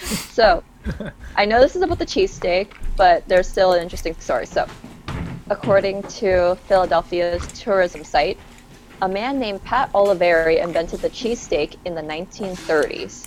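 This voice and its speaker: The pitch varies in an ordinary way, with music in the background. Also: woman, medium pitch for a woman, moderate pace. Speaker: podcast co-host. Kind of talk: casual chat.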